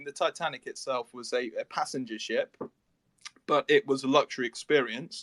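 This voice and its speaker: This man has an English accent and a fairly high pitch, talking at a fairly quick pace. His tone is bright and sharp, and the sound is dry and close with no echo. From England. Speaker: project team member on a metaverse cruise project. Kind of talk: interview on a live audio space. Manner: hesitant, many fillers and repetitions.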